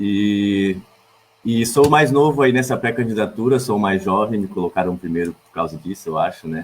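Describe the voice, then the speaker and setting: Moving at a moderate pace, a man with a fairly low pitch shows ordinary pitch variation and big swings in loudness. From Blumenau, Santa Catarina, southern Brazil. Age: 20s. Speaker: political candidate, sociology teacher and poet. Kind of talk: campaign self-introduction on a livestream. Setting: online livestream. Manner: hesitant, with repetitions and fillers.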